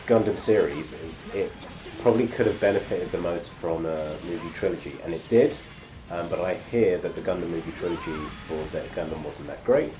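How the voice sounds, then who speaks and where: Over music in the background, a man with a British accent talks at a fairly quick pace amid audible room echo. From Britain. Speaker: gaming channel host. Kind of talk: live gameplay commentary. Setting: home live broadcast. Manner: hesitant, many fillers.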